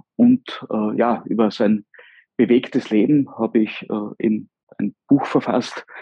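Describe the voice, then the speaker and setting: A man's dark, mellow tone at a very slow pace, with long, frequent pauses and a dry, close sound free of echo. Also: medium pitch for a man. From southern Styria, Austria (Mureck). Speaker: local politician and historian. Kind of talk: interview. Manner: hesitant, many filler sounds.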